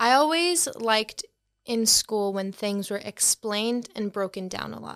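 A woman with a Boston accent speaks at a fairly slow pace in a fairly high pitch, her intonation lively and her loudness swinging widely, in a dry, close sound with no echo. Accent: Boston-area American. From Boston, US. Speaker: art influencer. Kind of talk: casual interview chat.

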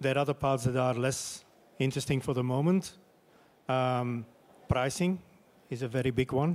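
With a Dutch accent, a medium-pitched man speaks at a moderate pace with fairly even intonation and long, frequent pauses. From Flemish Belgium. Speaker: sports media executive. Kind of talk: panel discussion. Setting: stage with audience.

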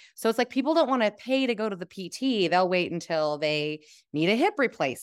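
A woman with an unremarkable speaking voice talks at a fairly quick pace with lively intonation, sounding dry and close with no echo. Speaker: program alum. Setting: video call.

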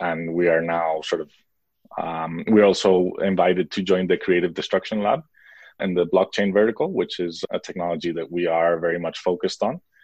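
A man with a very deep, low voice and an American accent speaks at a moderate pace in a monotone, flat intonation. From international upbringing: Mexico, US, Spain, Switzerland. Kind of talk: interview.

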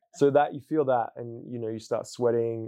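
The pace here is fairly quick. A man talks with an Australian accent. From Western Australia. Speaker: hip hop artist and spoken word poet. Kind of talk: personal testimony. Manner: casual, with many fillers.

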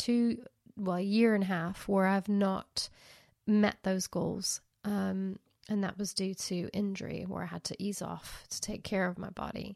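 On a very clean recording with a silent background, a woman with a normal speaking voice and medium pitch talks at a fairly slow pace with fairly even intonation. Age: 50s. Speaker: podcast host. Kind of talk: casual monologue.

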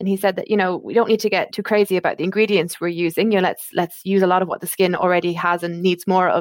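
In an Irish accent, a woman speaks very fast at medium pitch with monotone, flat intonation. The sound is dry and close, with no echo. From Ireland. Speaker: skincare brand medical marketing manager. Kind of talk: casual interview chat. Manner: many filler words and restarts.

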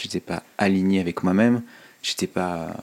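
The man's pitch is very deep and low. He keeps a fairly even intonation at a fairly slow pace. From France, Ain (Oyonnax). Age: 30s. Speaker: fashion entrepreneur and podcaster. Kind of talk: interview. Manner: halting, many fillers and repetitions.

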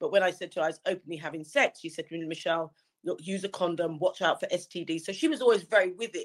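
A woman speaks very fast with a London accent, her pitch fairly low with ordinary variation. The sound is dry and close, with no echo. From London, England. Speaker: campaign patron. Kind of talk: interview.

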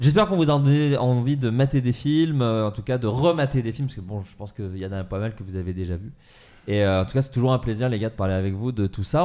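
With lively intonation and a dark, mellow tone, a man speaks fairly quickly at a medium pitch. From Burgundy, France. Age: 30s. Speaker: podcast host. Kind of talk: casual chat about comedy films.

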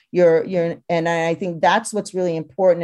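A woman speaks with an American accent at a fairly low pitch. Her tone is dark and mellow. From California. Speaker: fintech entrepreneur. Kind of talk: interview conversation.

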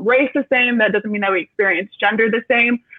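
A woman with an American accent and a normal speaking voice talks at a fairly high pitch with fairly even intonation. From Metro Detroit, US Midwest. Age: 20s. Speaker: university student panelist. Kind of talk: live panel discussion.

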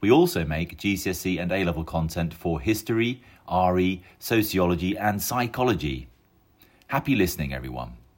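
A man's very deep, low voice with vocal fry, lively intonation and a moderate pace. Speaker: podcast announcer. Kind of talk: scripted promo intro and outro.

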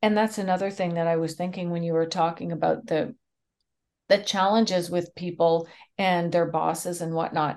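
With a Canadian accent, a woman talks in a normal speaking voice, fairly low in pitch, at a moderate pace with fairly even intonation. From Canada. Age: 50s. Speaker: speaker, trainer and mediator. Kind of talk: interview.

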